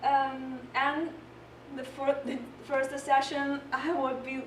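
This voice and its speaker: Noticeable background noise and audible room echo surround the recording. A woman speaks with a non-native accent. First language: not English. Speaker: volunteer peer tutor. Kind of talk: presentation. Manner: halting.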